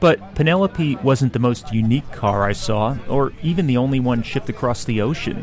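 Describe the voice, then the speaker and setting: Music plays in the background as a man's medium-pitched voice varies in an ordinary way. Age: 30s. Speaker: podcast host and traveller. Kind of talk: scripted narration.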